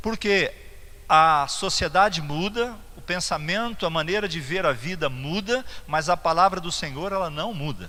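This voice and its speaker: This bright, sharp voice moves at a fairly slow pace with ordinary pitch variation and audible room echo. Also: man, high pitch for a man. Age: 60s. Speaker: pastor. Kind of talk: sermon. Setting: church. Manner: halting, with fillers and repetitions.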